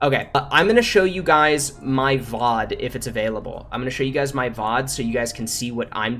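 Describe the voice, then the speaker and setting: Music plays in the background as a man of medium pitch speaks at a moderate pace with ordinary pitch variation. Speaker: game streamer. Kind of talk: livestream Q&A. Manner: stutters; casual, many fillers.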